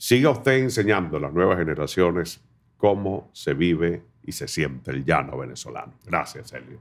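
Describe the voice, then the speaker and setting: A man's very deep, low voice with vocal fry swings very widely in pitch at a moderate pace. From Venezuela, Barinas; Venezuela. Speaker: podcast host. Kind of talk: interview. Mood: animated, warm storytelling. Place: studio. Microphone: studio mic.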